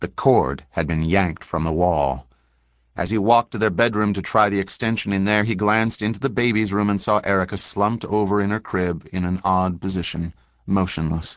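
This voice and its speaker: Over a quiet background, a man with an unremarkable speaking voice talks fairly quickly at a fairly low pitch with ordinary pitch variation. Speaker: audiobook narrator. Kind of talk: audiobook narration of true crime, read aloud from a book. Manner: even, solemn and formal, with a crisp journalistic tone.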